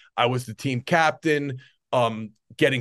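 The voice is a man's, with a New Jersey accent. His pitch is medium, with ordinary variation. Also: quiet background. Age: 40s. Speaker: strength coach. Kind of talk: interview.

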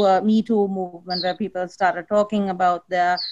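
At a moderate pace, a woman speaks at a medium pitch with a slightly mellow tone.

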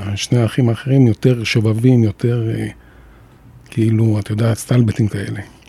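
There is noticeable background noise behind a man speaking at a medium pitch. His intonation is monotone and flat, broken by long, frequent pauses. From Jerusalem, Israel. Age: 50s. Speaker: former radio and TV broadcaster. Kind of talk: personal testimony in interview.

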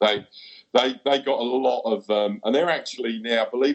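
A man talks at a moderate pace in an Essex accent. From Essex, England. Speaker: goalkeeping coach. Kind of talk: casual chat. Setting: video call.

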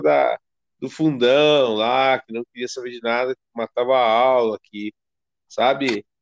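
Here is an ordinary speaking voice, a man at medium pitch with ordinary pitch variation, heard as a dry, close sound with no echo. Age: 40s. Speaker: podcast host. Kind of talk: interview.

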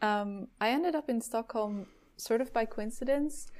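In a Dutch accent, a woman speaks at a moderate pace with ordinary pitch variation on a very clean recording with a silent background. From Netherlands. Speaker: product designer. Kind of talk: interview.

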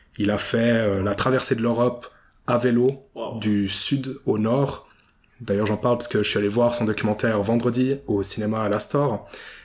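Keeping a very even loudness, a man speaks at a moderate pace and medium pitch with monotone, flat intonation. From Switzerland, Vevey (Romandy). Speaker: podcast host. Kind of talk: interview. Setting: borrowed office space in Vevey.

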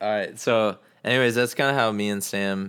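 Someone talks at a fairly slow pace in an ordinary speaking voice. The recording is very clean with a silent background. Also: man. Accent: American. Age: 20s. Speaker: podcast host. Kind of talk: casual chat; guest introduction.

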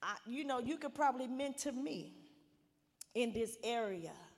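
The voice is loud and moves at a moderate pace. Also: woman. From Arkansas. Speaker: pastor's wife, guest minister. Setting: church. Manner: fervent, rhythmic preacher cadence, rising with repeated 'I pray' declarations.

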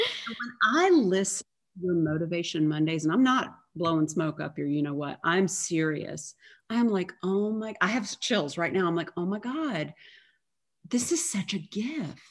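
A woman with an ordinary speaking voice talks at a fairly slow pace and a fairly low pitch. Her intonation is lively on a very clean recording with a silent background. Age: 40s. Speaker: yoga instructor and life coach. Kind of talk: casual interview chat.

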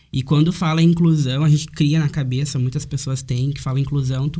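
A man's fairly high, somewhat breathy voice with a dark, mellow tone, monotone, flat intonation, and a fairly quick pace. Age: 20s. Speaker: university student. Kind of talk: casual chat.

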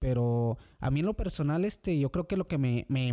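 In a very clean recording with a silent background and a dry, close sound with no echo, a man speaks at a moderate pace with a fairly high pitch, lively intonation and a dark, mellow tone. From Mexico, Guanajuato. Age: 20s. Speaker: immigrant worker. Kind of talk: casual interview. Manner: halting, many repetitions.

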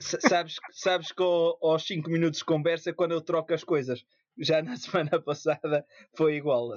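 A man talks in a normal speaking voice at a fairly high pitch. His intonation stays fairly even and his pace is moderate. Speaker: podcast co-host. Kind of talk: casual chat.

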